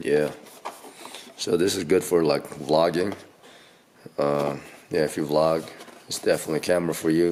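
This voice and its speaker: A man's very deep, low voice in a monotone, flat intonation, at a moderate pace with long, frequent pauses, over noticeable background noise. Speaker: tech unboxing youtuber. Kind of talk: casual unboxing video. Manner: halting, many fillers.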